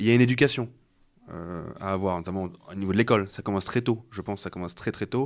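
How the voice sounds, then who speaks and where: Very fast delivery from a man with fairly low pitch and ordinary pitch variation. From Rouen, Normandy. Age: 20s. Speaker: football club president and candidate. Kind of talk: radio interview.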